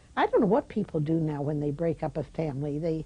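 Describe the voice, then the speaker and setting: This woman's voice is fairly low in pitch, somewhat breathy, with a dark, mellow tone. She speaks at a moderate pace. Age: 80s+. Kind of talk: interview answer. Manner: reflective, conversational.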